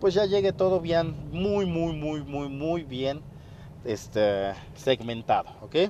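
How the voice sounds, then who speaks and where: A man's fairly high pitch with ordinary pitch variation. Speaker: podcast host, fitness business owner. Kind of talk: solo podcast monologue, business advice. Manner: casual, with many fillers.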